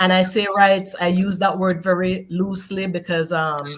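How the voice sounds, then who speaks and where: A woman's voice, fairly low in pitch. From Jamaica, Westmoreland parish. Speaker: immigration attorney. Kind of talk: informative talk on a panel show. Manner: hesitant, many fillers.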